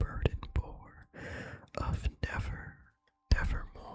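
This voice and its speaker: In a calm whisper, the speaker goes at a very slow pace. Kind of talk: whispered ASMR poetry reading. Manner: whispered, calm, relaxing.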